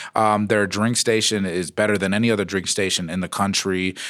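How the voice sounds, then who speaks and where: The speaker has a plain, everyday voice and talks at a moderate pace. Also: man. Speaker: stand-up comedian. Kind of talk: casual chat. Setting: studio.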